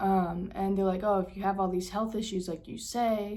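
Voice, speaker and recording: A woman speaks at medium pitch with ordinary variation in a somewhat breathy voice, and the room echo is audible. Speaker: vlogger. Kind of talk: casual vlog talk. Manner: halting, with fillers.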